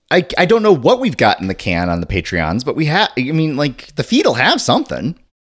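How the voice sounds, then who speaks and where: On a very clean recording with a silent background, a man talks at a fairly quick pace with hardly any pauses. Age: 40s. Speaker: podcast co-host. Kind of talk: casual chat.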